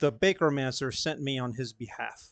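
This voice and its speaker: At a fairly quick pace, a man performs in a put-on character voice. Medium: actual play. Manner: smug, composed.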